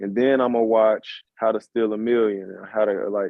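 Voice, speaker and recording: With a Southern US accent, a man of medium pitch speaks at a fairly slow pace. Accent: Southern drawl. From Chicago. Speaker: musician. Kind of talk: casual chat.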